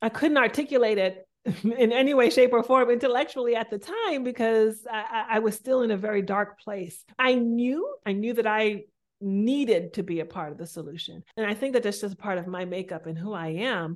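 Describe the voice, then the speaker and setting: A normal speaking voice moves at a moderate pace with ordinary pitch variation. The background is quiet. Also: woman, fairly high pitch for a woman. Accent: American. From US Northeast, Boston. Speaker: spiritual coach and motivational speaker. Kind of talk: interview conversation.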